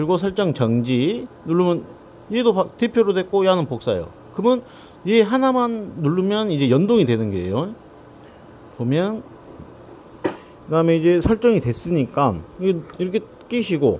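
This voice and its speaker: A high-pitched man in a Jeolla accent at a moderate pace, with very wide pitch swings, long, frequent pauses and noticeable background noise. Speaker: drone maintenance technician. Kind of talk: casual instructional talk to camera.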